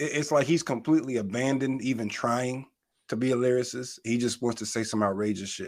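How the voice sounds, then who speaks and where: Here a man has a normal speaking voice at medium pitch, with fairly even intonation and a fairly quick pace. Nothing intrudes on the very clean recording's silent background. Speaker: podcast co-host. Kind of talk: casual chat.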